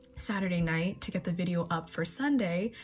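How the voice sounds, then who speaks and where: A woman speaks at a fairly quick pace. Her voice is somewhat breathy. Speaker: college student vlogger. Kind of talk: casual vlog chat. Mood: chatty, relaxed, late night. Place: home room. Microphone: phone near.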